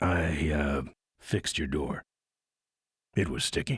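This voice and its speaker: A man's raspy, put-on character voice, very deep and low in pitch, at a fairly slow pace. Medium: video game. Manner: terse, gravelly deadpan.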